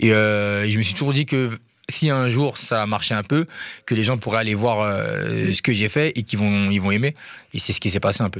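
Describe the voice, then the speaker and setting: An ordinary speaking voice with ordinary pitch variation moves at a moderate pace on a very clean recording with a silent background. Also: man, fairly low pitch for a man. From Paris, 19th arrondissement. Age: 20s. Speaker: rapper. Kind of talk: radio interview.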